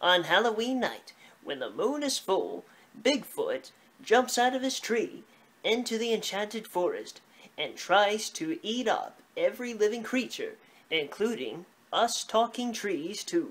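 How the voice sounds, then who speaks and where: In a cartoonish character voice, a female-sounding speaker talks at a fairly slow pace and a fairly high pitch. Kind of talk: children's puppet show. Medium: puppet show. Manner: anxious, fussy, then boastful.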